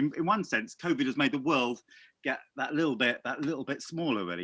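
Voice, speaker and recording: In an English accent, the voice sounds bright and sharp with lively intonation, on a very clean recording with a silent background. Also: man. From England. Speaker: podcast host, former vicar. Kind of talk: casual interview chat. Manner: halting.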